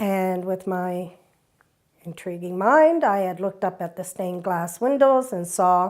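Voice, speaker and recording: Speaking at a fairly slow pace, a woman has an unremarkable speaking voice, medium pitch and ordinary pitch variation. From Eastern Canada (Saint John, New Brunswick; Toronto from 14). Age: 60s. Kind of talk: personal testimony.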